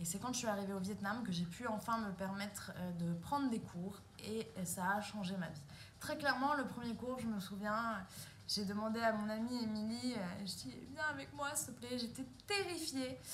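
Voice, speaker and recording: A woman speaks with a fairly high pitch and lively intonation. Audible room echo surrounds her voice. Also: moderate pace. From France, moved all over. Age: 30s. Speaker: pole dance instructor and performer. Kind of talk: casual self-introduction monologue. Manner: hesitant, many 'euh' fillers.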